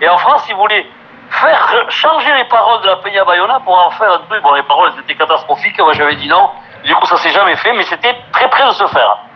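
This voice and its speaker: Over noticeable background noise, a high-pitched man speaks at a very fast pace with lively intonation. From French Basque Country, Bayonne. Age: 50s. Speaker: singer and former rugby player. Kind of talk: casual interview.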